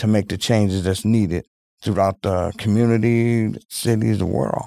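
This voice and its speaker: In a very clean recording with a silent background and a dry, close sound with no echo, a man with an American accent talks in a fairly low pitch with a dark, mellow tone. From Milwaukee, Wisconsin. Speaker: congressional candidate. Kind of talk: interview.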